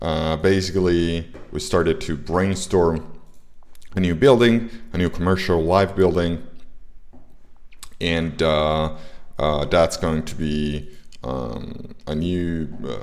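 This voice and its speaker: This voice moves at a very slow pace, with long, frequent pauses and audible room echo. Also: man. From Italy. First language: Italian. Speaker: indie game developer and streamer. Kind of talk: livestream tutorial. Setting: livestream. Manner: halting, many filler words.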